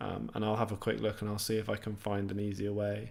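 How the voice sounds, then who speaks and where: Here a man speaks in a southeast English accent. His pace is moderate. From southeast England, near London. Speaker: programming YouTuber. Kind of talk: live stream Q&A. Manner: casual, many fillers and restarts.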